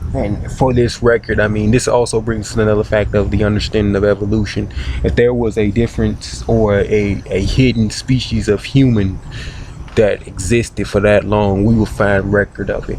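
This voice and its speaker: The speaker keeps a moderate pace with fairly even intonation. Noticeable background noise runs underneath. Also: man, fairly low pitch for a man. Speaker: video blogger. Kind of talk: casual monologue. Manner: halting, many fillers and repetitions.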